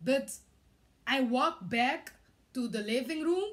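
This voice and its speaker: A woman with a Curaçao accent talks in a high pitch. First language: Papiamento. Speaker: vlogger. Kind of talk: personal testimony. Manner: halting, many hesitations.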